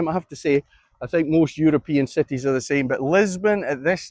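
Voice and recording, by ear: A man with a Scottish accent speaks at a moderate pace in a fairly high voice. The pitch variation is ordinary, and the sound is dry and close with no echo.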